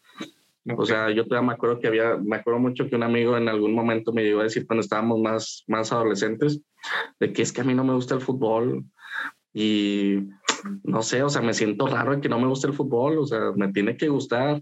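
With a normal speaking voice, a man talks at a fairly quick pace and medium pitch, keeping fairly even intonation and very even loudness. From Mexico, Saltillo (Coahuila). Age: 30s. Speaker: psychologist. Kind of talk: casual interview.

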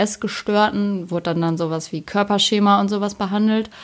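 This woman uses an ordinary speaking voice at a medium pitch, talking at a moderate pace with ordinary pitch variation. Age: 20s. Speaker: ice cream maker, former psychiatric patient. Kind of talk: casual chat.

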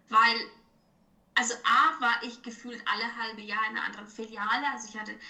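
A woman speaks at a fairly quick pace with a slight Franconian accent. Her fairly high voice has a bright, sharp tone, and there is audible room echo. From Franconia, Germany. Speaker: financial advisor. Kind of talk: casual chat.

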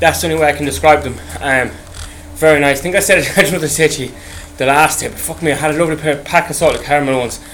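With an Irish accent, a man speaks very fast at a fairly high pitch with fairly even intonation against noticeable background noise. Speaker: podcast host. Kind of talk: casual monologue. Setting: on an exercise bike. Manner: rambling, halting.

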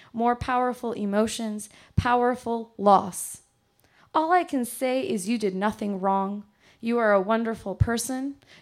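A woman speaks in an unremarkable speaking voice at a fairly high pitch. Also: ordinary pitch variation, fairly slow pace. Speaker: poet; teacher and poet. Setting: stage with audience in a bar.

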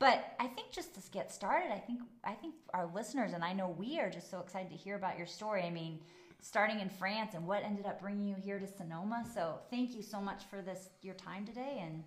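Somewhat breathy and animated, a woman speaks enthusiastically at a fairly quick pace, medium in pitch with ordinary pitch variation. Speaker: podcast host. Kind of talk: casual interview. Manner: enthusiastic, animated.

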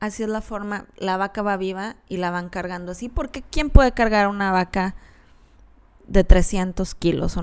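A woman at medium pitch with a Mexican accent, at a fairly slow pace, on a very clean recording with a silent background. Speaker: podcast host and animal rights columnist. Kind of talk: solo podcast monologue.

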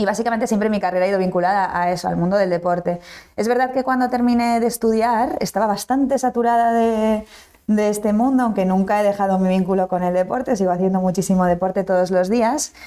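A woman with a dark, mellow tone at medium pitch, speaking at a very fast pace with ordinary pitch variation and very even loudness. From Basque Country, Spain. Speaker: startup founder and CEO. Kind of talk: interview.

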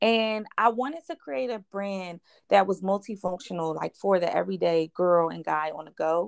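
A woman with a Philadelphia accent talks at a moderate pace and medium pitch, with ordinary pitch variation and big swings in loudness, in a dry, close sound with no echo over a quiet background. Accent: Philadelphia American English. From West Philadelphia. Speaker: clothing brand owner. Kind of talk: interview.

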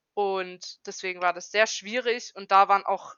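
The speaker is a woman. Her voice is medium in pitch. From Germany, Karlsruhe (Baden). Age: 20s. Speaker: trainee educator. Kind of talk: casual chat. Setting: remote call from home.

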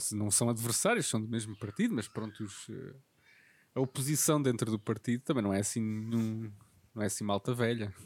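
Recorded very cleanly against a silent background, a man of medium pitch talks at a moderate pace with fairly even intonation. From Portugal, Covilhã area (Beira Interior). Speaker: podcast host. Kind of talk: casual chat.

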